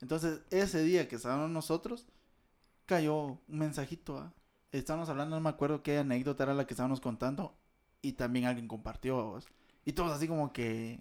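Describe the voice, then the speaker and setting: On a very clean recording with a silent background, a man with a Guatemalan accent speaks at a fairly quick pace, his pitch fairly high with ordinary variation. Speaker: podcast co-host. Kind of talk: casual chat.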